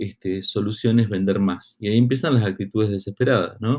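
A man talks at a moderate pace with a dark, mellow tone. His intonation stays fairly even. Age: 40s. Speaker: marketing consultant and podcast host. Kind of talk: solo educational podcast monologue. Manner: halting, many fillers and repeated words.

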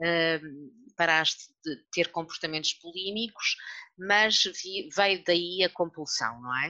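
A woman's fairly low-pitched voice, bright and sharp in tone, with ordinary pitch variation at a very slow pace. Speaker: podcast host, journalist. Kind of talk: interview.

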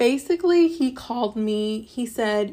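A woman is speaking. She has a Midwestern accent. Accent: General American (Midwest). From US Midwest, Ohio. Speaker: podcast host. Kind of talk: personal monologue.

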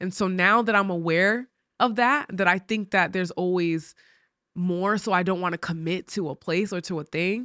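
Recorded very cleanly against a silent background, a woman speaks at a medium pitch with a bright, sharp tone and a dry, close sound with no echo. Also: ordinary pitch variation, moderate pace. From Rhode Island, New England. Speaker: podcast host. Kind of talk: motivational faith talk. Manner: casual.

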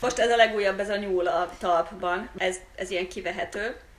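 At medium pitch and a moderate pace, a woman speaks with fairly even intonation over noticeable background noise. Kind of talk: casual chat.

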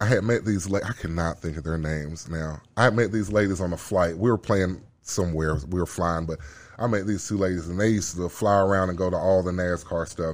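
A man with a Southern US accent speaks at a fairly quick pace in a very deep, low pitch. His intonation is fairly even, and the recording is very clean with a silent background. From Birmingham, Alabama. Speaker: former football player and fighter. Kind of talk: casual chat.

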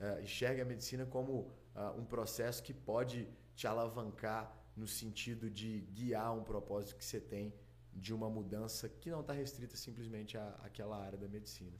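Vocal fry marks a man's fairly low voice at a moderate pace. His pitch varies in an ordinary way, and the room echo is audible. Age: 20s. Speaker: doctor. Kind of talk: casual interview.

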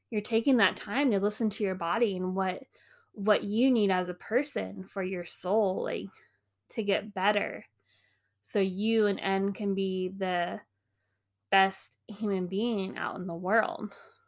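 An unremarkable speaking voice, a woman's medium pitch comes through at a fairly slow pace with fairly even intonation on a very clean recording with a silent background. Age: 30s. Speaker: podcast host, mom. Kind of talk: casual monologue. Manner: casual, frequent laughs and fillers.

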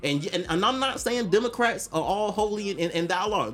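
Fairly quick and animated in tone, the speech has lively intonation against noticeable background noise. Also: man. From Atlanta. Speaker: podcast guest. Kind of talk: casual chat.

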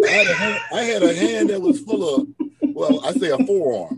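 A man with an animated tone. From East Texas (Rusk). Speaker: podcast co-host. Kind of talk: casual chat.

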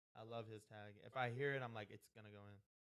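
A man speaks in a plain, everyday voice with an American accent. His medium pitch shows ordinary variation. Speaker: podcast co-host. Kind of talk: casual chat.

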